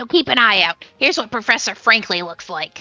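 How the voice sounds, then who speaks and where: Over faint background music, a woman does a cartoonish character voice at a fairly high pitch and a fairly quick pace. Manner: bubbly, quick.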